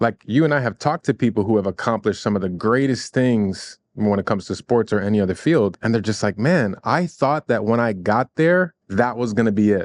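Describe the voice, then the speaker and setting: Over a quiet background, a man with an American accent speaks in a normal speaking voice at medium pitch, fairly quickly, with very even loudness and hardly any pauses. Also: lively intonation, dry, close sound with no echo. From US Midwest, Chicago. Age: 40s. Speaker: mindset coach. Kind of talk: podcast interview conversation.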